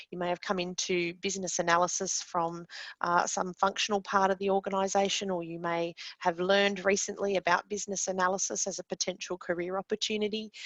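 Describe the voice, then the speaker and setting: Speaking very fast in a flat monotone, a woman with an Australian accent and a medium pitch is heard in a dry, close sound with no echo. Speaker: course presenter and business analyst. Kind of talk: webinar lecture. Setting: online webinar. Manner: many filler words.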